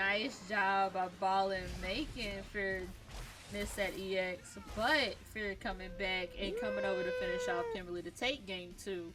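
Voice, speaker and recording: A woman talks at a fairly slow pace with a medium pitch. Music plays in the background and the room echoes audibly. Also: ordinary pitch variation. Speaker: esports commentator. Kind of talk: live commentary. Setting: indoors in an apartment. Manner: loud; animated.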